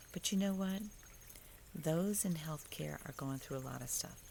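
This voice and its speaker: A woman is soft-spoken. Her pitch variation is ordinary. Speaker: faith vlogger. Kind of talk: devotional monologue. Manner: conversational.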